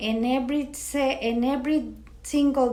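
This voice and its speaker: A woman's high voice in a Spanish accent, very slow pace, fairly even intonation, audible room echo. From Mexico, Matamoros. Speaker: parish coworker and interviewee. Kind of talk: interview. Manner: halting.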